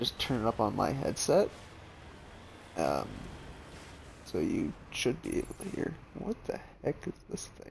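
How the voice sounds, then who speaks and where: A man speaks quietly and fairly slowly, leaving long, frequent pauses. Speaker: gaming streamer. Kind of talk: let's play commentary. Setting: alone at home recording. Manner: soft-spoken.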